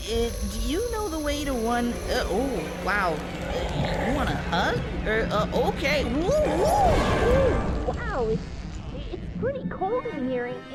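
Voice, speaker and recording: A put-on character voice speaks at a fairly slow pace. Loud background noise sits behind it. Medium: machinima. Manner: giggly, hesitant.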